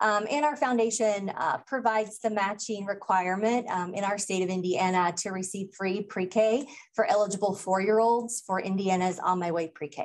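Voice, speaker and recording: An American accent marks a woman speaking at a moderate pace with ordinary pitch variation and hardly any pauses, against a quiet background. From US Midwest. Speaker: early childhood program director. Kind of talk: conference presentation. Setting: stage with audience. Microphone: video call.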